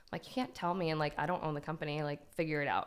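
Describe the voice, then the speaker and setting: A woman with a fairly low pitch speaks in a shaky voice. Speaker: DIY YouTuber. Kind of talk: casual chat.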